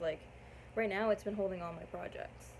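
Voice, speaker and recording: A woman speaks in a somewhat breathy voice. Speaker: crochet and knitting podcaster. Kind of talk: casual show-and-tell vlog.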